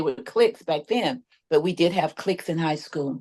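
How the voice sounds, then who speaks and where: A woman is talking here. She has a fairly low pitch. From Texas. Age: 70s. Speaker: community advocate and apostle. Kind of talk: testimony.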